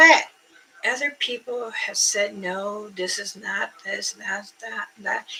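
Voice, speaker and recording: Very slow speech from a woman, over noticeable background noise. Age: 60s. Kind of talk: casual livestream chat. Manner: rambling, halting.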